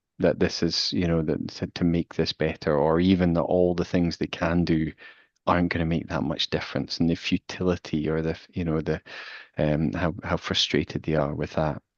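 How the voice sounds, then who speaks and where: A man speaks in a very deep, low, flat monotone with a Glasgow accent. The sound is dry and close with no echo, over a quiet background. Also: moderate pace. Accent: Scottish (Glasgow). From Scotland, Glasgow. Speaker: physiotherapist and researcher. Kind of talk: expert Q&A. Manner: hesitant, many fillers.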